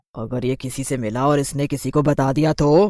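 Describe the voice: Using a cartoonish character voice, a man talks fairly quickly at a medium pitch. The recording is very clean, with a silent background.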